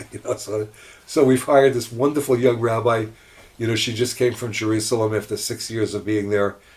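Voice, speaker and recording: With a somewhat breathy, medium-pitched voice, a man talks at a fairly quick pace in a monotone, flat intonation. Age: 70s. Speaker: rabbi. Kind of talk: casual chat.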